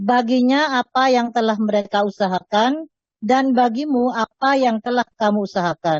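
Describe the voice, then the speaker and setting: At a moderate pace, a woman speaks with fairly high pitch, ordinary pitch variation, very even loudness and hardly any pauses. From Madura. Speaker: student. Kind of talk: reading aloud. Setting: online class.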